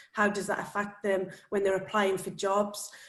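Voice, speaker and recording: Audible room echo and noticeable background noise accompany a woman speaking. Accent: Welsh. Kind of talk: panel discussion.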